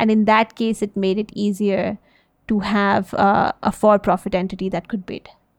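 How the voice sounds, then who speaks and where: The speaker uses an American accent with monotone, flat intonation at a moderate pace. The background is quiet and the sound is dry and close with no echo. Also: woman, medium pitch for a woman. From US, early childhood in Delhi. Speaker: social enterprise CEO. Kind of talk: interview. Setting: podcast.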